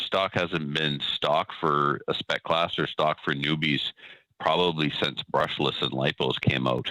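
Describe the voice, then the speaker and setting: A man is speaking. His voice carries vocal fry. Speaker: caller in a discussion about RC car racing. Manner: casual, many fillers.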